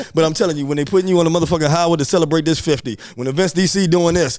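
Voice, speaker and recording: Very fast and high-pitched, a man talks with an American accent. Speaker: go-go music promoter and band leader. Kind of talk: heated debate. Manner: animated.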